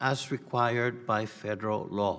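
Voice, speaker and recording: A man speaks with a non-native accent. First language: not English. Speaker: congressman questioning a witness. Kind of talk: congressional hearing questioning. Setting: committee hearing room. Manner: formal.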